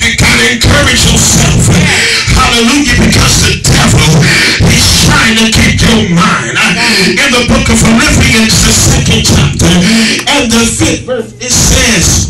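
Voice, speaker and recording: Loud music plays in the background as a man speaks at a fairly slow pace, with audible room echo. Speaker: preacher. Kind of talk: sermon. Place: church.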